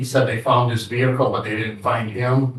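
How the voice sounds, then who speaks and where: With audible room echo, a man of medium pitch speaks at a moderate pace in a somewhat breathy voice with monotone, flat intonation. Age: 60s. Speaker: assault victim testifying in court. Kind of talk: courtroom testimony. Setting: courtroom. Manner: halting.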